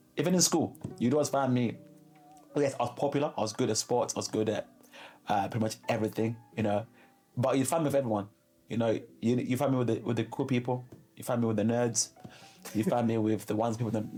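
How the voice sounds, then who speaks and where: A man with a Zimbabwean accent speaks at a very fast pace in a dark, mellow tone at medium pitch, his fairly even intonation broken by long, frequent pauses. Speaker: interviewee sharing life story. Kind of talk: interview.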